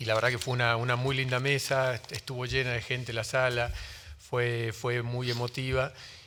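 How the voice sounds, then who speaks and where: A man with a Rioplatense accent speaks at a medium pitch. His intonation is monotone and flat. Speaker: book publisher on a panel. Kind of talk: panel talk. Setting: book fair panel with audience. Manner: fast; hesitant, many fillers.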